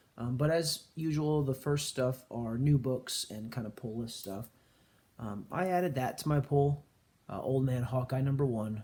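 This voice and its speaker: Quiet and somewhat breathy, a man's dark, mellow voice at medium pitch moves at a moderate pace with ordinary pitch variation. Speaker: comic book collector youtuber. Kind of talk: casual haul video talk. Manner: hesitant with many fillers.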